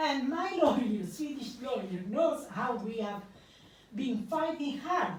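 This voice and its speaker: Amid audible room echo, a woman speaks fairly slowly with very wide pitch swings. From Italy. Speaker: investigative journalist. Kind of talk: public talk.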